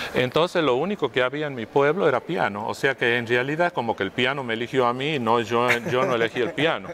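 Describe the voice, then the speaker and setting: A man's medium-pitched voice at a very fast pace, with hardly any pauses and ordinary pitch variation. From Argentina, Tucumán province (Monteros). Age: 60s. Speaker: pianist and conductor. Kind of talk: interview. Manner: hesitant, many fillers and repetitions.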